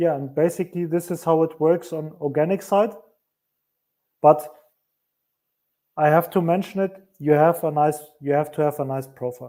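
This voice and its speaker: A man with a non-native accent and a dark, mellow tone speaks at a moderate pace, pausing long and often. His pitch is fairly high with fairly even intonation, on a very clean recording with a silent background. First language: not English. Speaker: marketing agency owner. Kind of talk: interview on a live stream.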